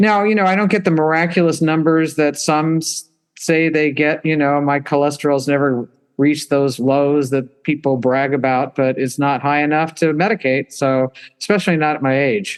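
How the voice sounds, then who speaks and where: A woman's very deep, low voice at a moderate pace, with very even loudness and ordinary pitch variation. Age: 70s. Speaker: nun and powerlifter. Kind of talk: interview. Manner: halting.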